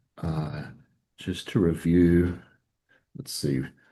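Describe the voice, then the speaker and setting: Very slowly, a man speaks in a very deep, low voice with a dark, mellow tone and vocal fry. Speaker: retro computer hobbyist presenting on a live show. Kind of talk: casual show-and-tell demo on live stream. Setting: coffee shop, remote video call. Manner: quiet, subdued voice; hesitant, with fillers.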